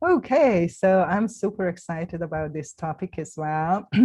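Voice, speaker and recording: A woman with a non-native accent, fairly low pitch, dark, mellow tone and fairly slow pace. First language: not English. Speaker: round table host, healer. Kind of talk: panel discussion.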